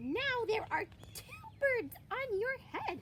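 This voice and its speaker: This is a put-on character voice, squeaky and delivered at a very slow pace. Background noise is clearly heard. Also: woman, extremely high pitch for a woman. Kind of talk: children's read-aloud. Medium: read story. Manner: playful, matter-of-fact.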